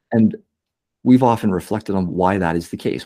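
With a Canadian accent, a man speaks at fairly low pitch in a dark, mellow tone on a very clean recording with a silent background. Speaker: podcast host. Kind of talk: casual interview conversation.

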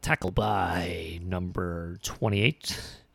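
In a very clean recording with a silent background, a man does a put-on character voice at a very deep, low pitch with fairly even intonation. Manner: booming, showy announcing.

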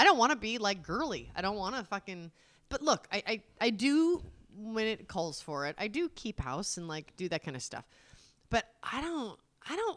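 Loud and fairly high-pitched, a woman speaks with very wide pitch swings on a very clean recording with a silent background. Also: moderate pace. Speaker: podcast co-host, wife. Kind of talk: casual chat.

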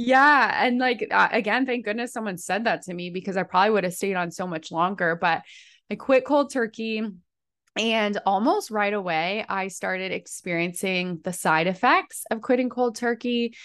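This woman has a plain, everyday voice at a medium pitch. She talks at a moderate pace with ordinary pitch variation over a quiet background. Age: 30s. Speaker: personal trainer and nutrition practitioner. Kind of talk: casual interview chat.

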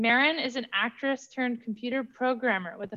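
A woman talks at a fairly quick pace in a plain, everyday voice. Her pitch variation is ordinary. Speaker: podcast host. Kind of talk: casual interview.

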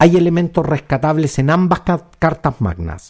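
With a Chilean accent, a man speaks in a somewhat breathy voice with a dark, mellow tone against a quiet background. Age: 50s. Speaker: podcast host and commentator. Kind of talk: opinion monologue.

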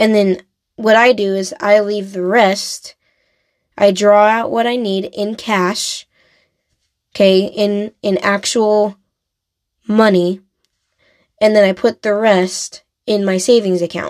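In an American accent, the speech goes at a very slow pace with long, frequent pauses. The intonation is monotone and flat. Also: woman, medium pitch for a woman. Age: 20s. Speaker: podcast host. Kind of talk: solo podcast monologue.

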